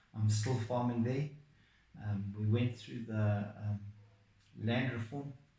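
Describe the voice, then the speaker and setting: In a room with audible echo, a man speaks at a medium pitch and a fairly slow pace. His voice is somewhat breathy and his intonation flat and monotone. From Zimbabwe. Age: 60s. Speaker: farmer. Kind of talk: testimony.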